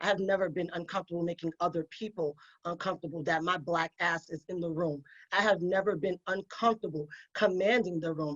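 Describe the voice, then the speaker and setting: Delivered with a New York accent, the speech runs at a fairly quick pace. The intonation stays fairly even. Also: woman. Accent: New York (Bronx). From New York, the Bronx. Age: 40s. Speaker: attorney and podcast host. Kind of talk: panel discussion.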